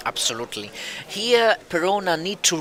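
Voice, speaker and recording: Noticeable background noise sits behind a man speaking with an Italian accent and lively intonation. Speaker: card game commentator. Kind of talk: live commentary. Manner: halting.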